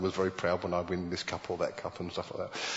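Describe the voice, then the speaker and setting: A man with a British accent talks at a very fast pace in a very deep, low voice. Noticeable background noise is present. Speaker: preacher. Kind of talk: sermon. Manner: halting, with many repeated words.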